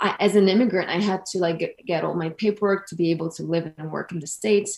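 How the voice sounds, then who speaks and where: Speaking very fast, a woman with a medium pitch keeps a fairly even intonation while her loudness swings widely. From Italy. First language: Italian. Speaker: actress and mental health advocate. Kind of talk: panel discussion. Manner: halting, many fillers and repeats.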